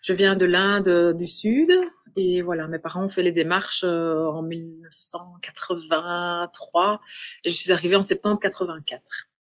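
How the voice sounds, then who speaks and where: Her voice sits at a fairly low pitch in a monotone, flat intonation, with big swings in loudness. The woman speaks at a fairly slow pace over a quiet background. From Belgium. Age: 40s. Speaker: adoptee. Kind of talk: podcast interview. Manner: halting.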